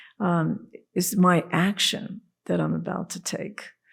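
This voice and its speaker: With lively intonation and some vocal fry, a woman speaks at a medium pitch on a very clean recording with a silent background. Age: 70s. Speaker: priest and former Zen monk. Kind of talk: casual chat. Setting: studio.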